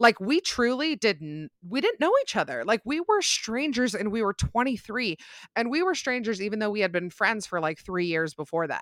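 In a dry, close sound with no echo, a woman with an American accent speaks at a moderate pace, her fairly high pitch swinging very widely. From Utah. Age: 20s. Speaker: podcaster and social media creator. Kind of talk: casual chat.

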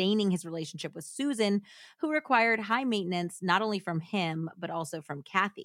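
The intonation moves in a lively way. Someone reads aloud in a natural voice.

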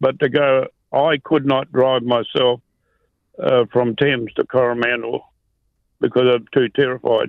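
A man at medium pitch talks at a fairly slow pace in a monotone, flat intonation, with very even loudness and long, frequent pauses. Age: 80s+. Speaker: caller. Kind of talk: phone-in, personal story. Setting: phone call.

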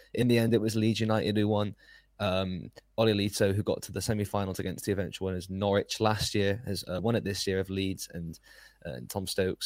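In a normal speaking voice, a man talks at a fairly quick pace and a fairly low pitch with fairly even intonation, on a very clean recording with a silent background. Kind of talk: casual chat.

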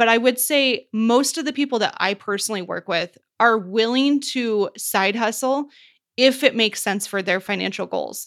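This woman has an unremarkable speaking voice, fairly high in pitch with ordinary pitch variation, at a moderate pace. The recording is very clean, with a silent background. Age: 30s. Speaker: financial coach. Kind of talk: casual chat.

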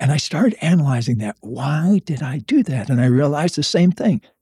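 A dark, mellow, somewhat breathy voice with an American accent, ordinary pitch variation and a dry, close sound with no echo. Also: man. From US South, Florida. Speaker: author and psychologist. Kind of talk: casual interview.

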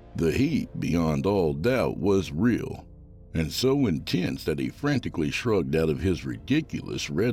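This man's voice is very deep and low, with a dark, mellow tone and vocal fry. His pitch swings very widely at a moderate pace. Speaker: horror fiction podcast host reading a story aloud. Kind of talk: horror story reading, dramatic narration. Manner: animated, playful.

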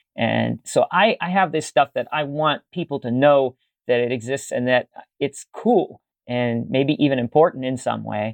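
A man with an American accent has a plain, everyday voice at a fairly high pitch. He talks at a moderate pace with ordinary pitch variation. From Pittsburgh, US. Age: 50s. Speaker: musician and video archivist. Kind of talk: casual chat.

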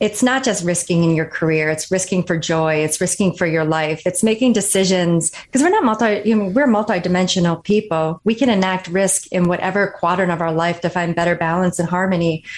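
A woman with an American accent speaks in a normal speaking voice at a medium pitch, with ordinary pitch variation. Her loudness stays very even and she hardly pauses. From northern Michigan. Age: 40s. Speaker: author and former Marine officer. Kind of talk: interview.

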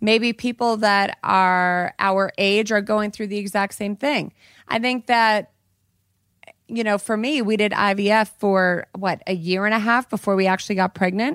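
A woman with an American accent and an unremarkable speaking voice talks fairly slowly at a medium pitch with fairly even intonation, in a very clean recording with a silent background and a dry, close sound with no echo. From Colorado. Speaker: podcast guest, co-host's wife. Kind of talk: casual chat.

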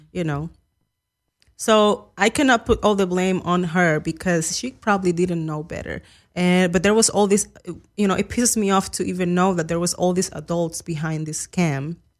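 Someone with a Spanish accent speaks at a moderate pace with ordinary pitch variation. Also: woman, fairly low pitch for a woman, very clean recording, silent background. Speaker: guest commentator. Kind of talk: casual chat. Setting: studio.

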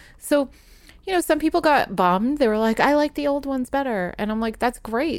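A woman with an American accent, high in pitch, lively in intonation and fairly quick in pace. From Providence, Rhode Island, US. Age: 40s. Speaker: artist and tarot deck creator. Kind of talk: casual interview chat. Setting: in person, recording. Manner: halting, many fillers.

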